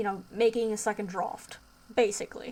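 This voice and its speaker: Fairly even intonation from a woman at medium pitch and a moderate pace. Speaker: indie game developer. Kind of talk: casual talk to camera.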